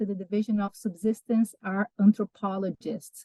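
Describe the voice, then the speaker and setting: This woman talks at a moderate pace with a Brazilian accent. Her voice is somewhat breathy. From southeast and south Brazil. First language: Portuguese. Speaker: wildlife research analyst. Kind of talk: public presentation. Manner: halting, many fillers.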